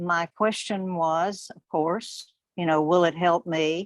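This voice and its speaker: A woman at fairly low pitch with fairly even intonation and a very slow pace, in a dry, close sound with no echo. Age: 70s. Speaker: product user sharing testimony. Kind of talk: testimony.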